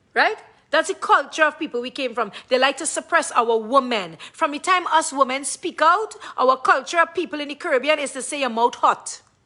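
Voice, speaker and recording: A woman speaks at a fairly quick pace in a raised, projected voice with big swings in loudness. Her tone is bright and sharp, and her pitch is high. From Trinidad and Tobago. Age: 40s. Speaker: live-stream vlogger. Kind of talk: emotional livestream rant. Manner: animated.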